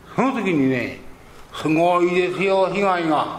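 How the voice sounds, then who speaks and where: There is noticeable background noise as a man talks at a fairly slow pace, high-pitched for a man, with ordinary pitch variation. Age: 80s. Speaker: Buddhist priest giving a talk. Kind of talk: religious sermon talk. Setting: live talk before an audience. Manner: humorous, self-deprecating, rambling.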